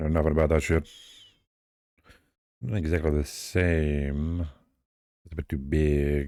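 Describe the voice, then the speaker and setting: A man's very deep, low voice with a dark, mellow tone, monotone, flat intonation, a fairly slow pace and long, frequent pauses. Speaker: VTuber artist streamer. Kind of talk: casual livestream chat while drawing. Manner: casual, meandering.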